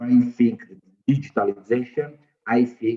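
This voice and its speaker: A man talks fairly slowly, his intonation fairly even throughout. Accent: non-native. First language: not English. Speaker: academic panelist. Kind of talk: panel discussion. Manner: halting, heavy repetition.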